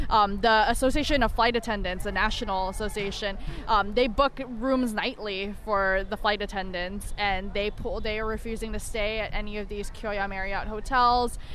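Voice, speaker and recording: A moderate pace with hardly any pauses, fairly even intonation and audible room echo. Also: woman, fairly high pitch for a woman. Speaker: union communications specialist. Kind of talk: interview. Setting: outdoors at a picket line.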